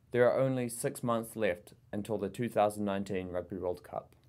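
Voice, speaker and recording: Talking very fast with a New Zealand accent, a man uses a fairly low pitch and ordinary pitch variation. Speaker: international relations coordinator. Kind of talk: language lesson. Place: meeting room. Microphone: camera far.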